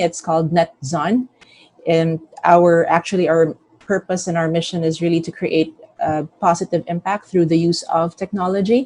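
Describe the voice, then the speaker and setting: A woman with an ordinary speaking voice, fairly low in pitch, talks at a moderate pace with fairly even intonation, recorded with a dry, close sound and no echo. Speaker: company CEO. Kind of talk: company presentation.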